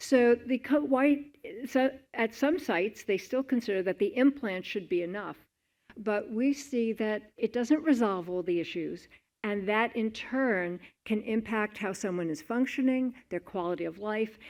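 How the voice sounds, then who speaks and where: With an American accent and an ordinary speaking voice, a woman speaks at a fairly slow pace and a fairly high pitch, her intonation lively, in a very clean recording with a silent background. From New York. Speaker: clinician and researcher. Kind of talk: conference presentation.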